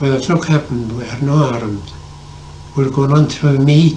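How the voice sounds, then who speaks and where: A fairly high-pitched man at a moderate pace, fairly even intonation, long, frequent pauses, and noticeable background noise. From Ireland. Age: 80s+. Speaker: former Irish civil war fighter. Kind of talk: storytelling interview answer. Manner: hesitant, halting.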